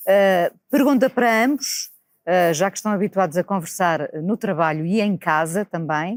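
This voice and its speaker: On a very clean recording with a silent background and a dry, close sound with no echo, a woman uses an ordinary speaking voice, fairly low in pitch, at a moderate pace with lively intonation. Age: 50s. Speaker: videocast host. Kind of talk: interview conversation.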